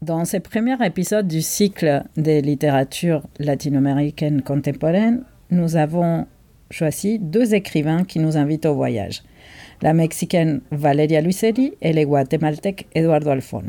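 A woman with a Spanish accent speaks in a very deep, low voice with a dark, mellow tone. Her pace is fairly slow and her loudness very even, on a very clean recording with a silent background. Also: lively intonation. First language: Spanish (speaking French). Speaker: bookseller, podcast co-host. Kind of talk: casual chat about books.

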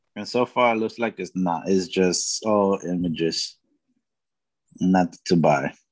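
Long, frequent pauses break up a man's very deep, low voice as he speaks at a fairly slow pace with ordinary pitch variation. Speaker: podcast co-host. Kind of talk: casual chat.

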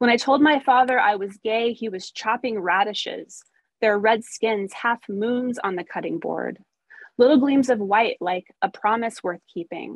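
A woman's normal speaking voice with an American accent, at a fairly slow pace and with ordinary pitch variation, in a dry, close sound with no echo. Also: fairly high pitch for a woman. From US Midwest, rural Missouri. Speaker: poet. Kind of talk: poetry reading. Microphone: phone.

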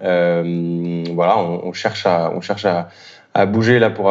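A man is speaking. His intonation is fairly even. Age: 30s. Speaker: startup co-founder. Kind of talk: interview. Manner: halting.

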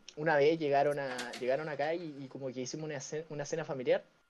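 Talking at a very fast pace, a man with a Chilean accent has a dark, mellow tone. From Chile, Valparaíso. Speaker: podcaster. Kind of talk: casual chat.

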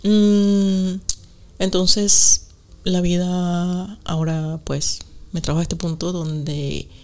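A woman's voice at a medium pitch, with fairly even intonation and a very slow pace. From Venezuela. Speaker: podcast co-host, meditation guide. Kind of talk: casual chat.

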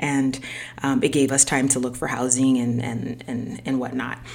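Against noticeable background noise, a woman with an American accent speaks at a moderate pace in a very deep, low pitch. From US, Haitian American family. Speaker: podcast host. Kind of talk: personal monologue. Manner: hesitant, many fillers.

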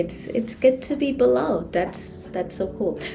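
A woman's voice with lively intonation, amid noticeable background noise and audible room echo. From Trinidad. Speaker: physician. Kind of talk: casual interview.

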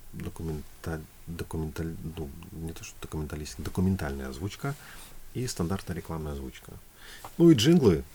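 A man talks at a moderate pace. His pitch is very deep and low. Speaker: singer and voice-over announcer. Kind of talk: casual chat.

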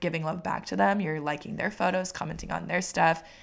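A woman with an American accent speaks at a fairly low pitch with vocal fry. The recording is very clean, with a silent background. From Washington State, US Pacific Northwest. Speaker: podcast co-host, small business owner. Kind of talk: casual chat. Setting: studio microphone.

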